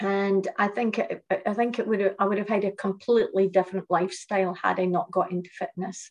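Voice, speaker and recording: Her delivery is monotone and flat, with hardly any pauses. This woman speaks at a medium pitch in a Shetland accent. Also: fairly quick pace. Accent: Shetland Scottish. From Shetland, Scotland. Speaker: fitness lecturer and business founder. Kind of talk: interview.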